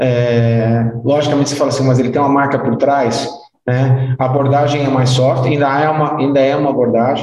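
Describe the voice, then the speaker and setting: A man's fairly high pitch in a monotone, flat delivery at a fairly quick pace, with audible room echo. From Brazil (Goiás), partly raised in London. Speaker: timeshare and resort industry executive. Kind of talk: interview conversation. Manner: casual, with many hesitations.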